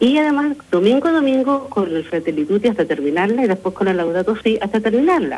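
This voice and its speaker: The speaker has a Chilean accent and very wide pitch swings. Noticeable background noise runs underneath. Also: woman. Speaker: parish pastoral worker. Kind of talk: live radio interview.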